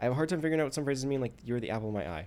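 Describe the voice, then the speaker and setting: A soft-spoken man with very wide pitch swings. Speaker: livestreamer. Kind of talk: casual live stream talk while answering a questionnaire. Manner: halting, many false starts.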